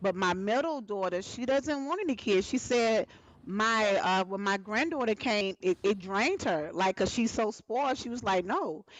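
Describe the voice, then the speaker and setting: A woman's fairly high voice with an American accent, lively intonation, and a moderate pace over noticeable background noise. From Alabama, US South. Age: 40s. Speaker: talk show host. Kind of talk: live panel talk show. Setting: live stream.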